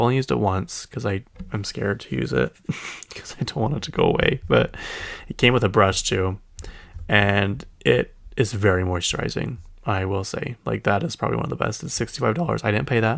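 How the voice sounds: With a Utah accent, a man speaks at a fairly quick pace in a fairly low voice with vocal fry. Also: lively intonation. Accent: Utah American.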